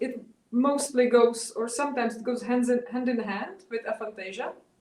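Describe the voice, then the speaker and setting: A woman with a non-native accent speaks in a high pitch with fairly even intonation. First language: not English. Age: 30s. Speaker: artist. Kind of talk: interview. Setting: video call. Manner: halting.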